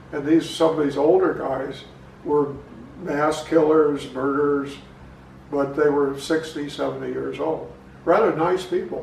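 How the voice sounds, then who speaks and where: Speech with an American accent comes at a fairly slow pace in a monotone, flat intonation, broken by long, frequent pauses, with audible room echo and noticeable background noise. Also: man, fairly high pitch for a man. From southern Illinois, US Midwest. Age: 80s+. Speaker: local historian and author. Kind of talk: interview, personal recollections. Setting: garage, filmed at home.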